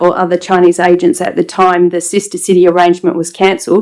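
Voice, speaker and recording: A woman speaks shakily with an Australian accent. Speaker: member of the public addressing council. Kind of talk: public statement. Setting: council chamber meeting. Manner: shaky.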